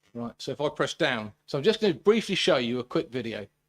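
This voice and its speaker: The pace is fairly quick. A British accent comes through. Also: man. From Britain. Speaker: sports journalist and writer. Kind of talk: conference talk. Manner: fast.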